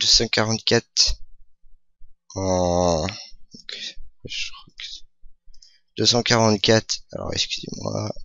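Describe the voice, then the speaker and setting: A man's voice at a medium pitch. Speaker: gaming youtuber. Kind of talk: gameplay commentary. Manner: hesitant, many fillers. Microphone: new microphone.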